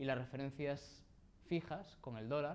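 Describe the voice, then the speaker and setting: A man speaks with fairly even intonation. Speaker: workshop instructor. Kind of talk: tutorial. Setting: live workshop with audience. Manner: fast; halting.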